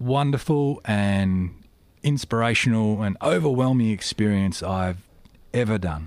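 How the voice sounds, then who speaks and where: In an Australian accent, a man speaks at a fairly slow pace. His pitch variation is ordinary. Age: 40s. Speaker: aircraft maintenance engineer. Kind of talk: interview. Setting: studio.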